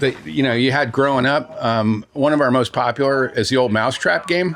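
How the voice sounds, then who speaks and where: Noticeable background noise sits behind a man talking at a fairly quick pace. His pitch is medium, with ordinary variation. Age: 70s. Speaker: toy store owner. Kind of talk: casual interview during store tour. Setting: in a toy store. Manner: conversational, hesitant with fillers.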